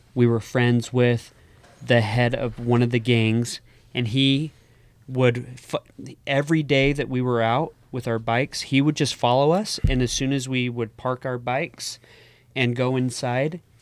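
A man speaks in an unremarkable speaking voice at a medium pitch, with fairly even intonation and a fairly slow pace. The recording is very clean, with a silent background. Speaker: podcast co-host. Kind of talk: casual chat.

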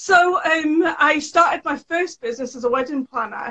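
Raised, projected voice from a woman, bright and sharp in tone. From UK. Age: 30s. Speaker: sewing educator and small business owner. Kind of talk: interview.

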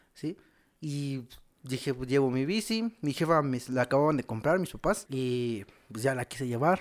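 Recorded very cleanly against a silent background, a man at a medium pitch speaks with a Mexican accent at a moderate pace, his intonation lively. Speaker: podcast co-host. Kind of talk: casual chat.

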